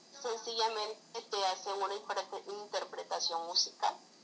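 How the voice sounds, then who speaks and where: A woman speaks at a medium pitch with fairly even intonation and a fairly slow pace. Noticeable background noise runs behind her. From Colombia. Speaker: writer and cultural promoter. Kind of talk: interview conversation.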